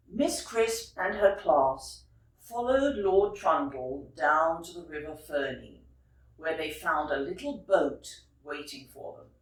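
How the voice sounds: Speaking slowly in a low voice with lively intonation, a woman is heard with audible room echo.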